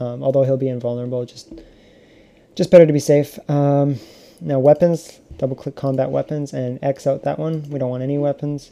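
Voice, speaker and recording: A man speaks at a fairly quick pace with a fairly high pitch. His intonation is fairly even, but his loudness swings widely. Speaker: game modding tutorial maker. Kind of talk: tutorial. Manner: fast; casual, filler-heavy.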